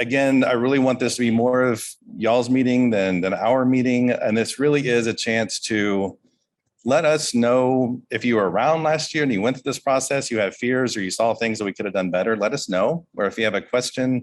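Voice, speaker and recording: Over a quiet background, a man speaks at a fairly quick pace in a medium pitch with ordinary pitch variation. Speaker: state health agency official. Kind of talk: public town hall presentation. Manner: fast.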